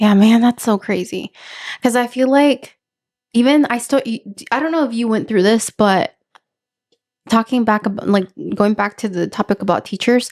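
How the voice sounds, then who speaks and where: In a Spanish accent, a woman speaks at a fairly high pitch with ordinary pitch variation and long, frequent pauses, the sound dry and close with no echo. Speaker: podcast host. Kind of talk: casual chat.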